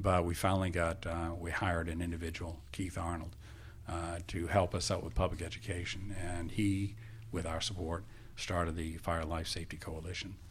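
This man has a very deep, low voice and an American accent. He speaks at a moderate pace, somewhat breathy, with fairly even intonation. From Maine, US. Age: 70s. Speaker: retired fire marshal and academy director. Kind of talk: casual interview, storytelling. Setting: studio.

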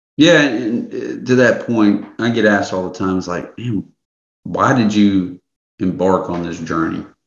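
A man in a normal speaking voice with an American accent talks at a fairly slow pace, fairly low in pitch, with ordinary pitch variation. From US South. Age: 30s. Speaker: men's coach. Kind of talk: interview.

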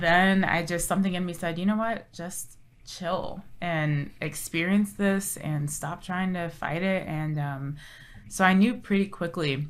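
This woman has an ordinary speaking voice with a fairly low pitch. She speaks at a fairly slow pace. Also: ordinary pitch variation. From Southern California, Orange County. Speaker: TV lifestyle co-host and reporter. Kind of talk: casual interview chat. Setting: studio, on camera.

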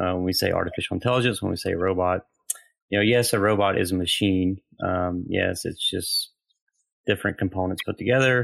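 At a fairly quick pace, a man speaks with fairly low pitch and fairly even intonation. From US South. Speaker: theologian and pastor. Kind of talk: interview.

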